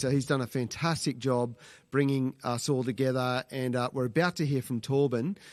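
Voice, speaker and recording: Using an Australian accent, a man speaks at medium pitch and a moderate pace. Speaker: webcast host and charity CEO. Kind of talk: live webcast hosting. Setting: live online webcast. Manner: casual, hesitant with fillers.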